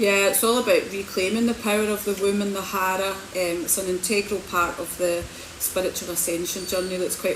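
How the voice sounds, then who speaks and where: Against noticeable background noise, a woman with a Scottish accent talks at a fairly quick pace in a medium pitch and monotone, flat intonation. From Scotland, Hamilton. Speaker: spiritual healer and coach. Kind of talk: livestream talk. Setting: social media livestream.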